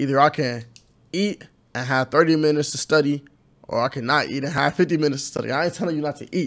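In a very clean recording with a silent background, a man with a fairly high pitch speaks at a very fast pace. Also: fairly even intonation. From inner-city Cleveland, Ohio. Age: 20s. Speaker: YouTuber, college student. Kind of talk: casual interview.

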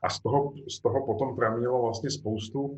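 Breathing somewhat audibly, a man talks at a fairly slow pace. His intonation stays fairly even. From Czech Republic. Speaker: novelist. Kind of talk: author interview.

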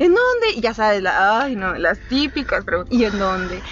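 Noticeable background noise sits behind a woman speaking with a central Mexican accent. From Mexico, Querétaro. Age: 30s. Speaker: lawyer and teacher, channel director. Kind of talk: casual interview.

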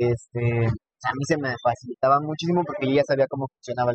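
At a moderate pace, a somewhat breathy voice comes through with a dry, close sound and no echo. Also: man. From Mexico, Texcoco (State of Mexico). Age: 20s. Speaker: cardiovascular nurse and lecturer. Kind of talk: casual interview. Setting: in person recording.

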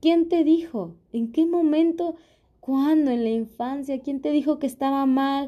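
A woman's dark, mellow tone at a fairly slow pace, with ordinary pitch variation and a quiet background. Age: 30s. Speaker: podcast host. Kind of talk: personal reflective monologue.

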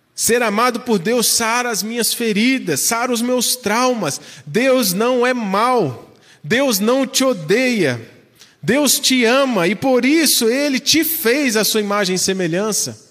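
Over noticeable background noise and audible room echo, a man speaks very slowly at an extremely high pitch, with ordinary pitch variation and very even loudness. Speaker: pastor. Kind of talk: sermon.

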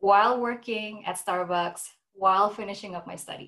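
Speaking at a moderate pace with ordinary pitch variation, a woman talks in an Indonesian-Canadian accent. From Indonesia (Jakarta), moved to Vancouver at 15. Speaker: food industry professional. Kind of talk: online presentation and Q&A. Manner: many fillers (um, uh).

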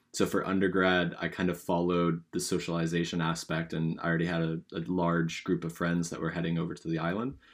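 A man with a Californian accent speaks at a very fast pace with hardly any pauses, in a very deep, low pitch. His intonation is monotone and flat, on a very clean recording with a silent background. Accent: Californian American. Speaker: podcast co-host, university student. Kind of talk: casual chat.

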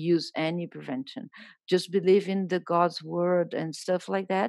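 A woman with a Brazilian accent, fairly low pitch, fairly even intonation and a fairly slow pace, in a very clean, dry, close recording with no echo and a silent background. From Brazil, Rio de Janeiro. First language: Portuguese. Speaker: journalist and writer. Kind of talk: interview conversation.

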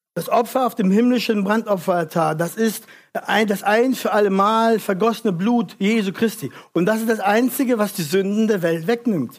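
A man talks at a moderate pace with a high pitch. His loudness stays very even, with ordinary pitch variation. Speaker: preacher. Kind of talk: sermon. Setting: church with congregation. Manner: earnest, urgent preaching, direct appeals to the congregation; didactic, explains verse by verse.

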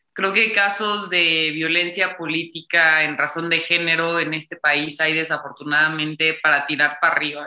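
This woman's voice is very deep and low, and she talks at a moderate speed. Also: fairly even intonation, hardly any pauses. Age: 20s. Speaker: political communication student and feminist activist. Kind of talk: interview.

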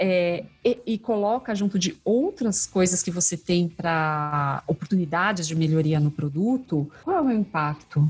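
Very wide pitch swings, very even loudness, a fairly slow pace and hardly any pauses. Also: woman. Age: 40s. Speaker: customer experience specialist. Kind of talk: casual interview chat.

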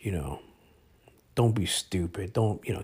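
Recorded very cleanly against a silent background, a man speaks at a moderate pace with vocal fry. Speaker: podcast co-host. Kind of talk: casual chat.

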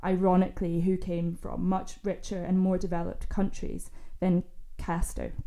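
A woman with a Scottish accent talks in a monotone, flat intonation. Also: medium pitch for a woman, moderate pace. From Scotland. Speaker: panelist, law teacher. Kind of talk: panel discussion. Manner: hesitant, many fillers.

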